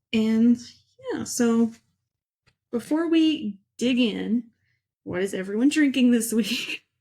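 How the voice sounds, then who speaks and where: A woman speaks very slowly in a dark, mellow tone, with long, frequent pauses. Her pitch is fairly high, with ordinary variation. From Kentucky. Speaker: book podcast host. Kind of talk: casual chat.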